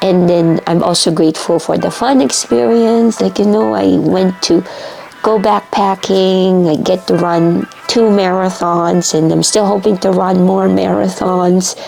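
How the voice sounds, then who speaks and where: Over music in the background, a woman with a fairly low pitch speaks at a fairly slow pace, her loudness very even and her intonation lively. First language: Tagalog. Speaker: vlogger. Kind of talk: personal vlog. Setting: home basement. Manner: halting.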